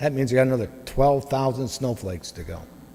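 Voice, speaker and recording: A man is heard over noticeable background noise. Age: 60s. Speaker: parishioner giving testimony. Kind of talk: testimony.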